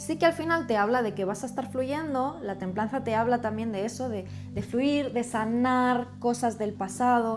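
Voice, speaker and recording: A woman with a high pitch speaks over faint music in the background. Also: ordinary pitch variation, moderate pace. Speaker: tarot reader. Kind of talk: tarot reading commentary. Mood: calm, explanatory. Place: home room. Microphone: camera far.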